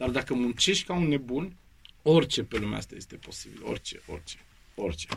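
At a fairly quick pace, a man speaks with medium pitch, very wide pitch swings and vocal fry. His loudness swings widely. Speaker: actor and drama school head. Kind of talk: interview. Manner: animated.

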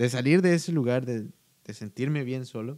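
Dry and close with no echo, a man's voice has a medium pitch and a dark, mellow tone. He speaks at a moderate pace with lively intonation. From Guatemala. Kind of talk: casual chat.

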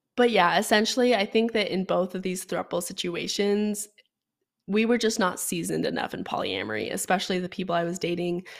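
A woman at a fairly quick pace, medium in pitch, with ordinary pitch variation, vocal fry, and an animated, enthusiastic tone. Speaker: podcast host. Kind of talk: solo podcast Q&A, casual storytelling. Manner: animated, chatty, enthusiastic.

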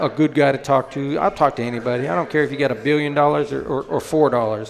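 A man with an American accent, fairly high pitch, ordinary pitch variation and a very fast pace, amid noticeable background noise. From Colorado, Denver. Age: 40s. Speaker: drag racing champion. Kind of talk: interview.

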